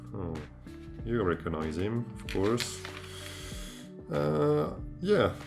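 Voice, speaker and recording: A man with a French accent speaks very slowly in a very deep, low voice, with long, frequent pauses and music in the background. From France. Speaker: amateur artist. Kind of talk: casual talk to camera, sketchbook tour. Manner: casual, hesitant.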